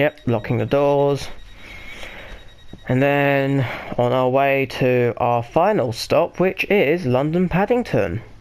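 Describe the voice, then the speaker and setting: A man at a fairly high pitch with noticeable background noise. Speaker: gaming YouTuber. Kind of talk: gameplay commentary. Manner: monotone; casual, hesitant with fillers.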